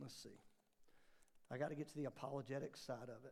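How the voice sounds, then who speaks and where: A man with vocal fry speaks at a very fast pace. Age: 40s. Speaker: pastor. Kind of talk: bible study class teaching. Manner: animated.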